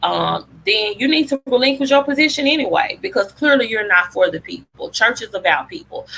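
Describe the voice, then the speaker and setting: A woman talks with a Southern US accent. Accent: Southern drawl. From Memphis, Tennessee. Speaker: public health advocate. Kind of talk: presentation talk. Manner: conversational, passionate.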